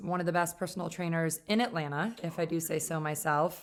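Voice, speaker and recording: Speaking at a fairly quick pace with an upstate New York accent, a woman has a fairly low pitch and fairly even intonation in a very clean recording with a silent background. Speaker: podcast host. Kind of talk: podcast interview.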